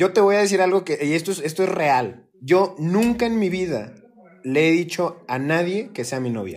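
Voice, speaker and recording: A man speaks with a high voice. His pace is moderate. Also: lively intonation. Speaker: podcast co-host. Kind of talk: casual chat.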